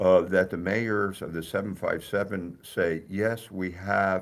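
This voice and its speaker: A man's very deep, low voice with an American accent and ordinary pitch variation, on a very clean recording with a silent background. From New Jersey. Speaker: mayor. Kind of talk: radio interview. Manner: halting, many fillers.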